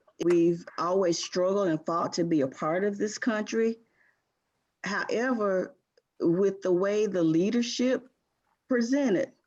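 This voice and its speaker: A woman at a fairly slow pace with long, frequent pauses, very even loudness and ordinary pitch variation, against a quiet background. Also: medium pitch for a woman. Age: 60s. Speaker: community group participant. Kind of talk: group video call discussion.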